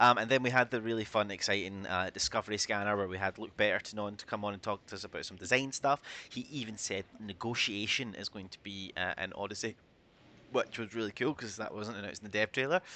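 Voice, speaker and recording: A man with a strong Scottish accent talks at a very fast pace in a fairly low, bright and sharp voice, his loudness swinging widely. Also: ordinary pitch variation. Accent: Scottish, thicker than usual. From Scotland. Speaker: community manager and stream host. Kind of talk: livestream news chat. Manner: casual, many fillers.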